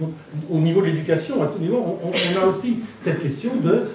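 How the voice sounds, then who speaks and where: Noticeable background noise and audible room echo surround the speaker. A man talks at a high pitch and a moderate pace with lively intonation. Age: 60s. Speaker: human rights organization president. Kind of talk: conference talk. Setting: round table with audience. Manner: halting, many repetitions and fillers.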